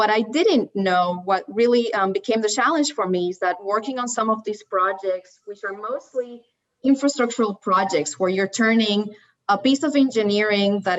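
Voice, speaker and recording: A woman with a Spanish accent talks at a moderate pace, her medium pitch moving with ordinary variation. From Puerto Rico. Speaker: landscape architect. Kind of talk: panel discussion. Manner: halting.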